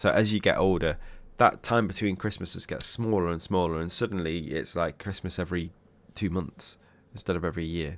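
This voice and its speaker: With an English accent, a man with a very deep, low pitch speaks at a fairly quick pace and fairly even intonation, in a very clean recording with a silent background. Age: 30s. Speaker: music reaction youtuber. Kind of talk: casual reaction commentary. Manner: hesitant, many fillers.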